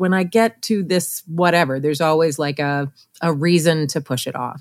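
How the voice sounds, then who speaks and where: A woman with a plain, everyday voice and fairly low pitch speaks at a moderate pace in a very clean recording, silent behind her and dry and close with no echo. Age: 40s. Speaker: portrait photographer and educator. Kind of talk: podcast interview.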